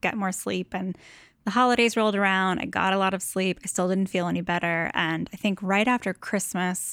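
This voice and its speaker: Recorded very cleanly against a silent background with a dry, close sound and no echo, a plain, everyday voice moves at a moderate pace with fairly even intonation. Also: woman. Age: 30s. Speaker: design blogger. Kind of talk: interview.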